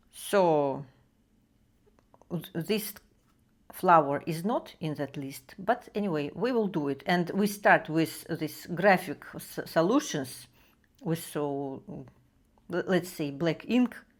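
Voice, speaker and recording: A woman with a Russian accent speaks at a very slow pace in a fairly low pitch, her intonation lively. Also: very clean recording, silent background. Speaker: art tutorial creator. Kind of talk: drawing tutorial. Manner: halting, many fillers.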